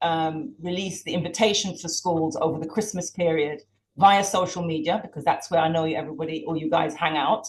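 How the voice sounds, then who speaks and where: A woman with a British accent talks at a moderate pace, her fairly low, somewhat breathy voice showing ordinary pitch variation. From Jamaica, educated in Britain. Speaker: campaign organizer. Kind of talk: launch event speech.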